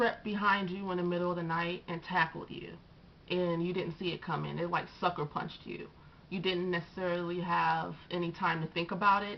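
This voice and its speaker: This soft-spoken woman has a fairly low pitch and a monotone, flat intonation. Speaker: astrology and tarot youtuber. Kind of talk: casual monologue to camera. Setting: on camera, video recording. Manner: pushing voice louder than normal.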